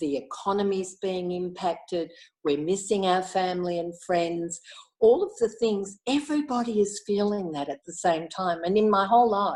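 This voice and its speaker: A woman's medium-pitched voice with an Australian accent, ordinary pitch variation and a moderate pace. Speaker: Inner Wheel club member. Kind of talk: casual interview chat.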